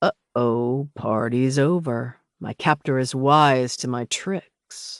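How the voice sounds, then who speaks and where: Against a quiet background, a man uses a put-on character voice at a medium pitch and a very slow pace. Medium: read story. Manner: smug, chuckling.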